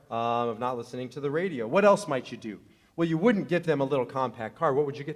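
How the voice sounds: Lively intonation in a natural reading voice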